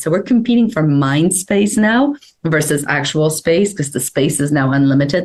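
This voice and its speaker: At a fairly quick pace, a woman speaks with lively intonation and a very deep, low pitch. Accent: slight Polish. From Poland. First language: Polish. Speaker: publicist. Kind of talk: interview.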